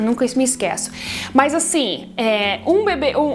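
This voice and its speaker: Over noticeable background noise, a woman with a non-native accent speaks with ordinary pitch variation. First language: not Portuguese (speaking Portuguese). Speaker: foster parent and baby care vlogger. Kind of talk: casual talk to camera. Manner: halting, many fillers and restarts.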